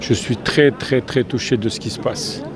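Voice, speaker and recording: Noticeable background noise sits behind a man. He speaks at a moderate pace with fairly even intonation. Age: 70s. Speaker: demonstrator. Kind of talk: street interview.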